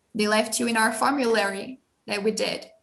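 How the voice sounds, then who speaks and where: A woman's fairly high-pitched voice moves at a fairly slow pace. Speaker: student league president. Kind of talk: interview introduction.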